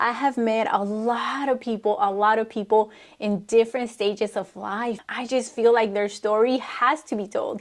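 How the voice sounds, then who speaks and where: A woman with a Spanish accent at a fairly high pitch, moderate in pace with hardly any pauses and fairly even intonation. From Mexico. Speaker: vlogger. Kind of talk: personal testimony.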